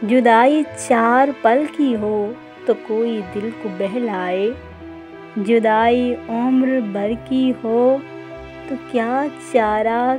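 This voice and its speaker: Music plays behind a woman whose fairly high pitch carries fairly even intonation. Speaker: poetry narrator. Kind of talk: poetry reading. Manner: emotional, melancholic.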